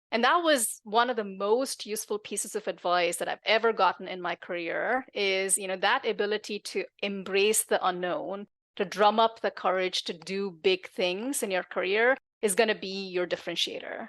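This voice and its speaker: With a non-native accent, a woman talks at a moderate pace with hardly any pauses, using a medium pitch and ordinary pitch variation, in a dry, close sound with no echo against a quiet background. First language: not English. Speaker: tech executive and author. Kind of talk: podcast interview.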